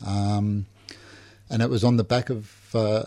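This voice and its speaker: A man speaks in a fairly low pitch. His tone is dark and mellow. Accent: Australian. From Melbourne, Australia. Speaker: recovering alcoholic. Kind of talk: personal testimony. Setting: radio studio. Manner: halting, many fillers.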